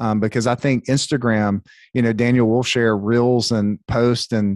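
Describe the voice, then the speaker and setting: A man's plain, everyday voice with an American accent, medium pitch and ordinary pitch variation, at a moderate pace on a very clean recording with a silent background. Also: dry, close sound with no echo. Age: 30s. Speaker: salon owner and coach. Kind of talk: casual podcast conversation.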